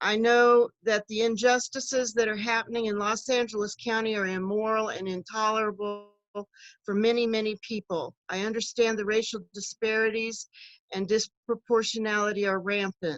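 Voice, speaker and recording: A woman's fairly high voice with an American accent, flat and monotone, at a moderate pace. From US Midwest, Kansas City area. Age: 60s. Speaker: political candidate, retired social worker. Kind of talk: campaign speech.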